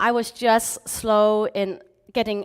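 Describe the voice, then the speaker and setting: At a very slow pace, the speaker talks in a slight British accent. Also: woman. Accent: slight British twang. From Hong Kong, schooled in England from age nine. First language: Chinese. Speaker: motivational speaker. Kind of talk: motivational talk.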